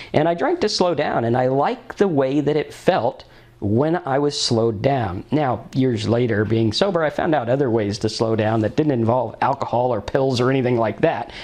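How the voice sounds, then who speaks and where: A man speaks at a medium pitch and a moderate pace with lively intonation. His loudness stays very even, with hardly any pauses. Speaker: sober living vlogger, recovering alcoholic. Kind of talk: personal testimony monologue. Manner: animated.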